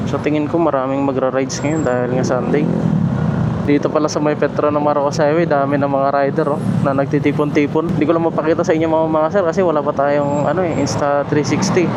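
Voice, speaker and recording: Over noticeable background noise and audible room echo, a man with a fairly high pitch talks very fast. His intonation is monotone and flat, and his loudness stays very even. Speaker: motovlogger. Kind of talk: casual vlog narration while riding. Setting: riding a motorcycle, in helmet. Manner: quiet, lowered voice.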